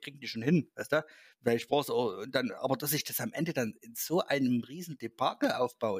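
A normal speaking voice moves at a fairly quick pace on a very clean recording with a silent background. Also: man. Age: 30s. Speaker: gaming website host. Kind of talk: casual chat.

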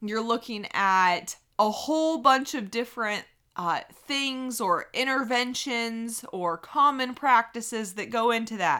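A woman with an American accent speaks at a fairly high pitch. Her tone is bright and sharp. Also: very clean recording, silent background. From United States. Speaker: pregnancy podcast host. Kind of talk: solo monologue podcast. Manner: casual with many filler words.

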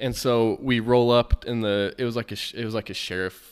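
This is a man with an unremarkable speaking voice, fairly low in pitch, with fairly even intonation. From southern Utah. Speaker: police officer. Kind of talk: interview.

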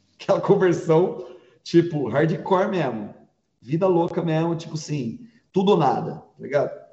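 A man speaks at a high pitch and a moderate pace. His loudness swings widely, and there is audible room echo. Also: ordinary pitch variation. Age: 40s. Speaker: pastor. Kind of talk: casual chat.

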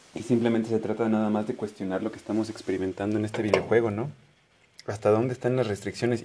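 A man talks very fast at a medium pitch in a flat monotone, with noticeable background noise. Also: big swings in loudness. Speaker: podcast host. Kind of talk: casual monologue. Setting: at home, living room. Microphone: no microphone, may sound distant.

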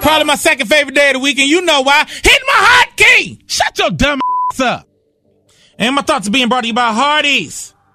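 A man's extremely high voice, raised and projected, playful and lively in its intonation, at a fairly quick pace over background music. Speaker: radio co-host. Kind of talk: radio DJ patter. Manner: playful, laughing, joking banter.

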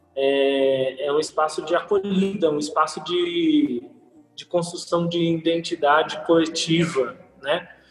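Against noticeable background noise, a man talks at a fairly slow pace with a high pitch. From Brazil, São Paulo city. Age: 20s. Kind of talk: casual podcast interview.

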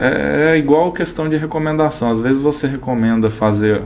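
At a moderate pace, a man with an unremarkable speaking voice speaks with lively intonation. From Araporã, Minas Gerais (raised from age 8). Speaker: agronomist and seed company representative. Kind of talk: casual interview chat. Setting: studio.

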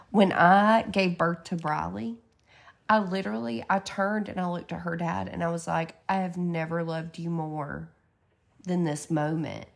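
In a Southern US accent, a woman speaks at a moderate pace. Her pitch is fairly low, with ordinary variation. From Georgia. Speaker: podcast co-host. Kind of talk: casual chat.

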